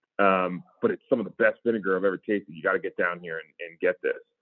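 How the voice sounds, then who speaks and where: Very fast delivery with an American accent. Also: man. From central coastal California. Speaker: regenerative rancher and land trust worker. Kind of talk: casual interview. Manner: halting, many fillers.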